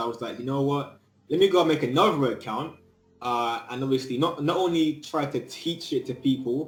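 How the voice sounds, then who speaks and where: A man talks while music plays in the background. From England. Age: 20s. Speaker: student and YouTuber. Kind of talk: casual interview.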